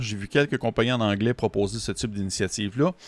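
A man with a Quebec accent talks at a moderate pace and medium pitch, with a dry sound with no echo. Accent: Québécois French. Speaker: tabletop RPG reviewer. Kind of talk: video review monologue. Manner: hesitant, with frequent fillers and repetitions. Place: home room. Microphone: studio mic.

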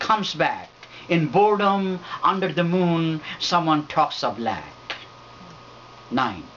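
Light background noise sits behind a very slow delivery with lively intonation and long, frequent pauses. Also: man. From Bangladesh. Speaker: poet. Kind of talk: poetry reading. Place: home room. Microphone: camera far.

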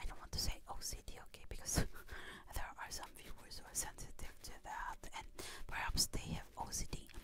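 A woman whispers at a moderate pace. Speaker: ASMR creator. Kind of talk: ASMR personal talk. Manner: whispered; chewing gum while speaking. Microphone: studio mic.

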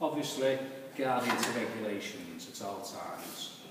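The speech moves at a fairly slow pace. Audible room echo and loud background noise fill the recording. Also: man. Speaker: woodwork instructor. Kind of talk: tutorial. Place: workshop. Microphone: camera far.

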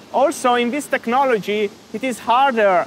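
The speaker is a man with an extremely high pitch. Light background noise can be heard. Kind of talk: interview answer. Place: factory. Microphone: lapel.

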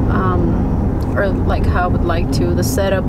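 A woman's voice at a moderate pace, dry with no echo, against loud background noise. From Mexico. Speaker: vlogger. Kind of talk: vlog. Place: car. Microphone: phone near.

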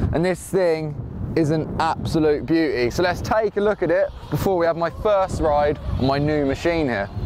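High-pitched male voice, dry with no echo, over noticeable background noise. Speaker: motorbike vlogger. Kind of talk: casual vlog chat. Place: open country.

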